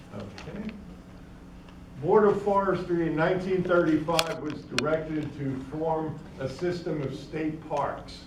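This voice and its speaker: Against noticeable background noise and audible room echo, a man talks at a fairly slow pace in a fairly high pitch with ordinary pitch variation. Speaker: state park manager and guest speaker. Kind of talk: lecture. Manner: loud.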